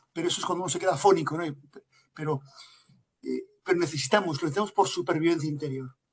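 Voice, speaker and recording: At a very fast pace, a man speaks with a Galician accent. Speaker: lecturer, family institute director. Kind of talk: answering audience in Q&A. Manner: hesitant, many fillers.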